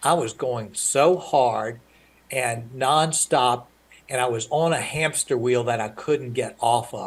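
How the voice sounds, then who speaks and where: Somewhat breathy, the voice moves at a very slow pace with ordinary pitch variation. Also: man, medium pitch for a man. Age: 60s. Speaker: author and business leader. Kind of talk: podcast interview. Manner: halting.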